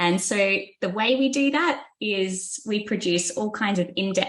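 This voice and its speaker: The speaker has an Australian accent. Pitch variation is ordinary. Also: woman. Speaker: business researcher. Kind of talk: podcast interview.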